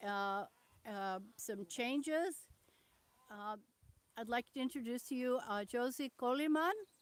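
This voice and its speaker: Shouting loudly, a woman speaks at a fairly slow pace with lively intonation. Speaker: veterinarian and conservationist leading a tour. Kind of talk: live-stream tour. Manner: loud, almost yelling. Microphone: poor sound, some viewers cannot hear.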